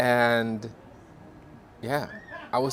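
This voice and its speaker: Speaking at a fairly slow pace, a man with a non-native accent has a medium-pitched voice. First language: not English. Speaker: authenticity coach. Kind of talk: casual chat.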